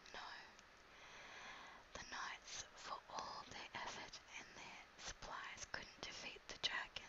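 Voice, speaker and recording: A whisper in an Australian accent moves at a very slow pace, broken by long, frequent pauses. Noticeable background noise sits under the voice. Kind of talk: whisper reading of a children's book for ASMR. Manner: whispered, soft, relaxing.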